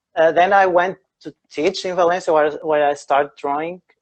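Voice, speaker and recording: A high-pitched man at a moderate pace with fairly even intonation. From Portugal, Porto (north). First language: Portuguese. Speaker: architect and drawing teacher. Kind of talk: live online interview. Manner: halting, many fillers.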